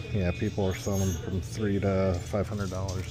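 The speaker is a man. Music plays clearly behind him. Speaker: eBay reseller thrifting. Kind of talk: casual vlog chat. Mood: excited about finds. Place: shop. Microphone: phone near.

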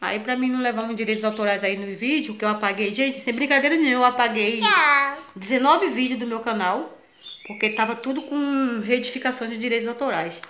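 A woman at a fairly quick pace with ordinary pitch variation, over light background noise. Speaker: home vlogger. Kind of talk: casual vlog chat. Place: home room. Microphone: phone near.

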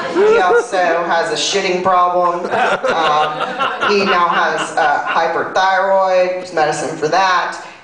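A woman talks at a very slow pace with hardly any pauses, amid audible room echo and noticeable background noise. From US South. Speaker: comedian. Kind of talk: stand-up comedy, self-deprecating confessional bits. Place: stage.

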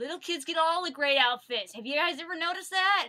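A raised, projected voice with a bright, sharp tone and ordinary pitch variation comes through over a quiet background. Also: woman. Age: 20s. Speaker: vlogger. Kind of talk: casual product review vlog. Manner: animated, frequent laughter. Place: home room. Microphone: webcam.

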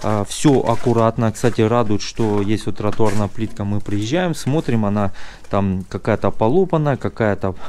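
Male speech of moderate speed, with ordinary rises and falls in pitch. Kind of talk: property walkthrough commentary. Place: garden. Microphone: phone near.

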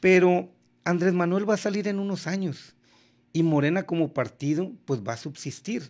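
In a quiet background, a man with a high voice speaks at a moderate pace with ordinary pitch variation. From Sinaloa, Mexico. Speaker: politician. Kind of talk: radio/TV interview. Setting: studio. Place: studio. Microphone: studio mic.

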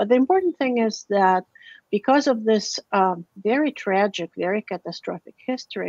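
A woman with an unremarkable speaking voice, medium in pitch with ordinary pitch variation, at a fairly quick pace, in a dry, close sound with no echo. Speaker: linguist, director of a university field station in Guatemala. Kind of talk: academic talk with slides.

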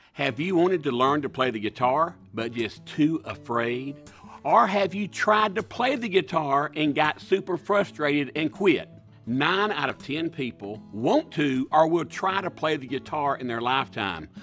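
Speech unfolds at a fairly slow pace with lively intonation. Faint music plays in the background. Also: man. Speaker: inventor. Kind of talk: TV infomercial pitch. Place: studio.

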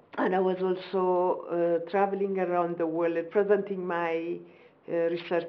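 This woman speaks with an Ethiopian accent at a fairly low pitch. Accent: Ethiopian English, moderate. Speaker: professor and government minister. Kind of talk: formal interview. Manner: formal, measured. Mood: proud, reflective. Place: home room.

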